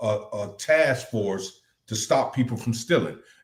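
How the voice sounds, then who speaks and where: A man at a medium pitch speaks very slowly, his intonation lively. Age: 60s. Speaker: talk show co-host. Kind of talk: casual live-stream discussion. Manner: animated.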